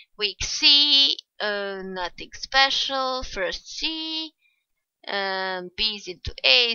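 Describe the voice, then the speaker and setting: A woman speaks with very wide pitch swings. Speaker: gaming video creator. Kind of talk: let's play commentary. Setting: at home. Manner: casual, chatty with hesitations.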